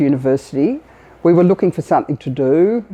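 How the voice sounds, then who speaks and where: The speaker is a woman with an Australian accent. Her tone is dark and mellow. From Australia (Sydney). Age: 60s. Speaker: business leader, retail chairperson. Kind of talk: interview testimony.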